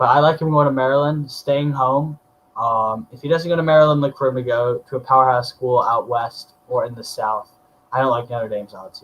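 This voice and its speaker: A man with an unremarkable speaking voice, medium pitch, a fairly quick pace, fairly even intonation and big swings in loudness. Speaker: sports podcaster. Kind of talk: solo podcast commentary.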